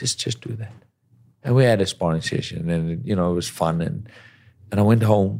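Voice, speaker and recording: On a very clean recording with a silent background, a man with a fairly low, dark, mellow voice talks at a moderate pace with ordinary pitch variation and long, frequent pauses. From South Africa. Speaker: professional boxer. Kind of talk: interview.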